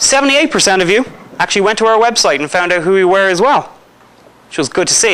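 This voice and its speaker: Very fast and with lively intonation, the speaker talks in an Irish accent. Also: man. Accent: Irish accent, noticeable. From Ireland. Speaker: paranormal investigator. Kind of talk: lecture. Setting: school hall with live audience. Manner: conversational, jokey with audience.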